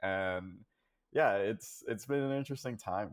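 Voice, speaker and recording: Moderately paced speech from a man. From San Diego, California (inner city). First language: Spanish. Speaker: water scientist. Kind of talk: casual interview. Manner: hesitant, many fillers.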